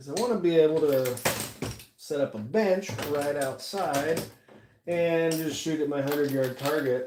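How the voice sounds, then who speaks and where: Audible room echo follows a man who speaks at a fairly slow pace with a fairly high pitch and long, frequent pauses. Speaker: livestreamer reloading ammunition. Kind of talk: casual livestream chat. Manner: monotone.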